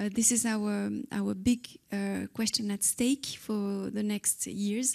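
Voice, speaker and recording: A woman with a French accent speaks very slowly at a medium pitch, flat and monotone, over a quiet background. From France. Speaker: government official; speaker. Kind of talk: conference speech. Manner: halting. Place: hall. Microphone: handheld.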